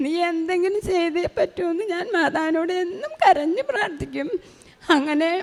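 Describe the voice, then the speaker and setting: This woman's voice sits at an extremely high pitch with ordinary pitch variation. Noticeable background noise runs underneath. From Kerala, Chalakudy. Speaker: pilgrim giving testimony. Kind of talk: testimony. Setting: church altar.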